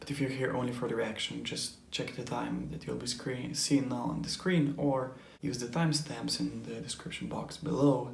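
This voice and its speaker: A man talks at a moderate pace. Room echo is audible, and background noise is noticeable. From Europe. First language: not English. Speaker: anime reaction youtuber. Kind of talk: casual vlog explanation. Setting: home recording, neighbors nearby. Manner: hesitant, many fillers.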